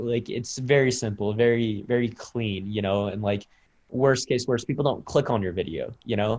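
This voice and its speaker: A man with a General American accent, a normal speaking voice, medium pitch, fairly even intonation and a moderate pace. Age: 20s. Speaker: content creator. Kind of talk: interview. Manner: casual, many fillers.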